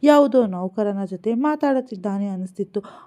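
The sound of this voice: Reading in an unforced voice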